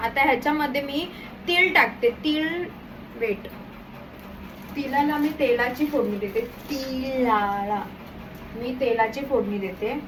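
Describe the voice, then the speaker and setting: A woman's high voice with ordinary pitch variation over noticeable background noise. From Konkan, Maharashtra.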